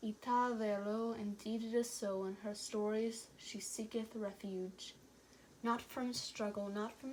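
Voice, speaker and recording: Over noticeable background noise, a woman speaks fairly slowly in a fairly high pitch with monotone, flat intonation. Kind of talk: poetry reading.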